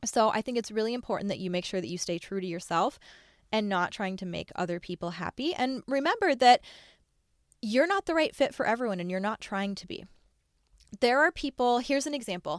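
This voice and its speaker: A woman speaks with an animated tone, lively intonation and a fairly high pitch at a fairly quick pace. The very clean recording has a silent background and a dry, close sound with no echo. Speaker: podcast host, online business coach. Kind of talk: solo podcast monologue. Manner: fast.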